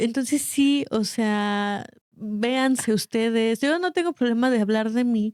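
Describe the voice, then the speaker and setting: Dry and close with no echo, a woman's fairly high voice moves at a very slow pace. Her loudness is very even and her pitch varies in an ordinary way. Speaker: podcast co-host. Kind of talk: casual chat.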